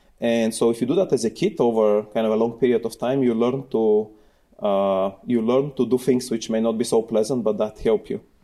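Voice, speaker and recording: This voice has a Bulgarian accent, a dark, mellow tone and fairly even intonation at a fairly quick pace. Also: man, medium pitch for a man. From Bulgaria (Sofia). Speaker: computer science professor. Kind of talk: interview.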